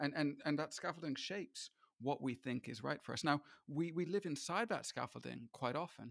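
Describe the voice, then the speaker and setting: Here a man with a fairly high pitch and ordinary pitch variation talks at a moderate pace, with vocal fry. The sound is dry and close, with no echo. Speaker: podcast host. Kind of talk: casual interview discussion.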